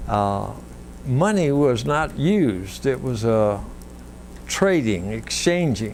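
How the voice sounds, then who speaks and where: A man with a Central Texas accent speaks at a very slow pace. He leaves long, frequent pauses. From Wimberley, Texas. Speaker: local historian. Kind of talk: oral history interview answer.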